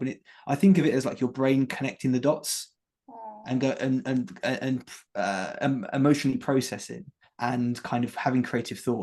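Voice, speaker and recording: A man with an English accent speaks at a medium pitch, with ordinary pitch variation. The background is quiet. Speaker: former teacher turned health coach. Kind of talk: interview chat. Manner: fast.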